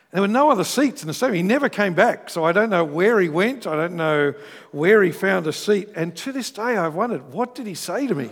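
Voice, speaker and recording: A man with an Australian accent speaks at a fairly quick pace. His voice is high, with lively intonation. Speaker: pastor. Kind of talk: sermon. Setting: church.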